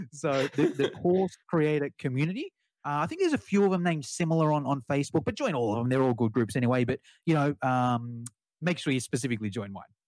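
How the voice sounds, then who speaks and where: An Australian-accented man speaks at a very fast pace with a fairly high pitch and ordinary pitch variation. The recording is very clean, with a silent background. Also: dry, close sound with no echo. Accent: Australian, non-rhotic. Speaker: online course business owner. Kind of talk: podcast interview. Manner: casual, animated.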